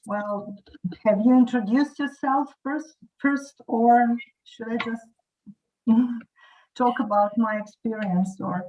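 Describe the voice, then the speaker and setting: Speaking at a very slow pace with long, frequent pauses, a woman uses a fairly high pitch with ordinary pitch variation, a dark, mellow tone and big swings in loudness. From Croatia. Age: 40s. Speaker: English teacher. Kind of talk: casual chat.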